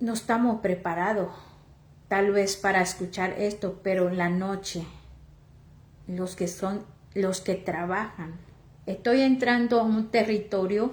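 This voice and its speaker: Speaking very slowly with long, frequent pauses, a woman with a Mexican accent has a medium pitch, fairly even intonation and a somewhat breathy voice, with audible room echo around her. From Oaxaca, Mexico. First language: Chatino (speaking Spanish). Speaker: lay preacher. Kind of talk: sermon. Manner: halting.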